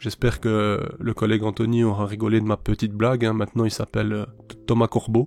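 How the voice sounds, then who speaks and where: A man talks at a moderate pace. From Belgium. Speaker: YouTuber, ant keeper. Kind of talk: casual vlog monologue. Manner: loud; hesitant, many fillers.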